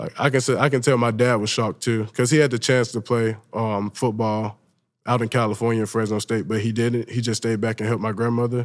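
Speaking in an Alabama accent at a moderate pace, a man keeps a monotone, flat intonation on a very clean recording with a silent background. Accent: Southern US (Alabama). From US South, Mobile, Alabama. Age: 20s. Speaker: college football player. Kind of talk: interview. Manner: hesitant, many fillers.

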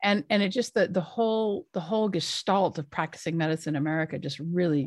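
A woman's fairly low voice at a fairly quick pace, with ordinary pitch variation and a quiet background. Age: 50s. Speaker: retired surgeon and menopause educator. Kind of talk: interview. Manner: halting.

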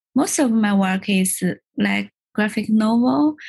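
Speaking at a very slow pace, a woman has a medium-pitched, somewhat breathy voice with a Chinese accent. Her pitch varies in an ordinary way. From China. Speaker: artist and former scholarship student. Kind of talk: podcast interview.

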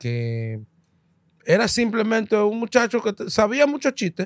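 A man's voice with very wide pitch swings. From New York, Dominican-American. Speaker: comedian. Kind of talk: casual chat. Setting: studio. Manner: animated.

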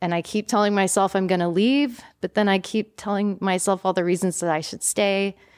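Hardly pausing, a woman with an American accent and an unremarkable speaking voice keeps her intonation fairly even on a very clean recording with a silent background. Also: medium pitch for a woman, fairly quick pace. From Texas. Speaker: fashion business owner. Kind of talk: interview.

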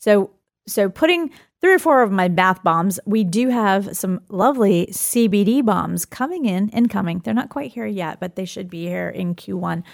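The recording is very clean, with a silent background. A woman at a medium pitch sounds animated, using lively intonation at a moderate pace. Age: 50s. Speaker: business owner and radio show host. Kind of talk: casual chat.

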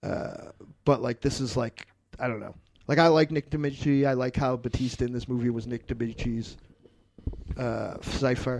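This man talks at a moderate pace with medium pitch and ordinary pitch variation. It is a normal speaking voice. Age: 40s. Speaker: podcast co-host. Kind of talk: casual chat.

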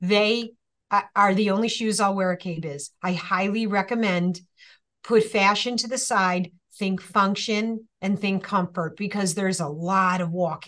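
A woman with an ordinary speaking voice, medium pitch, ordinary pitch variation and a fairly slow pace, over a quiet background. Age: 50s. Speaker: kitchen and cabinetry designer, business owner. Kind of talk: casual interview.

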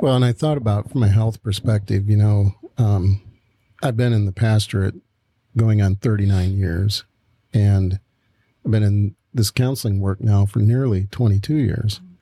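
A man's fairly low, somewhat breathy voice with a dark, mellow tone, very even loudness, fairly even intonation, and a fairly slow pace. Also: dry, close sound with no echo. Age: 60s. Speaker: pastor and podcast co-host. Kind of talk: casual chat.

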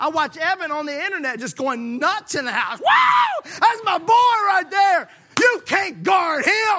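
A man shouts at a fairly slow pace in an extremely high, animated voice with very wide pitch swings. Noticeable background noise runs underneath. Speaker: pastor. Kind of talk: sermon. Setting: church. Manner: loud.

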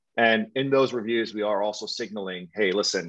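A man speaks in an unremarkable speaking voice at a moderate pace. The pitch is fairly low with fairly even intonation, and the background is quiet. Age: 40s. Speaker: company CFO. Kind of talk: interview. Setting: live online call with audience.

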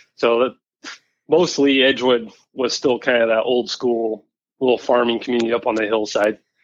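The speaker has a Pacific Northwest accent. Delivery runs at a moderate pace with fairly even intonation. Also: man. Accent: Pacific Northwest American. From Western Washington, Puyallup area. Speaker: digital marketing worker in off-road industry. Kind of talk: casual interview chat.

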